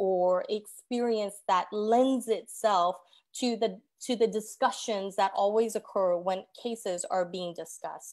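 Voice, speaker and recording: The recording is very clean, with a silent background. A woman speaks at a fairly slow pace, her fairly high pitch showing ordinary variation. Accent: Korean. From South Korea. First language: Korean. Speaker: judicial candidate. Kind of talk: candidate forum answer.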